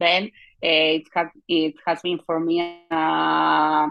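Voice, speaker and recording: A woman with a Spanish accent and a very deep, low pitch. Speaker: football journalist. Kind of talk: interview conversation. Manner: halting, hesitant English.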